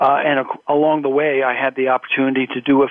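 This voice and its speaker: A man with an American accent and a fairly high pitch speaks with monotone, flat intonation. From US, Philadelphia and California. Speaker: professional association board chair. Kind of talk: interview.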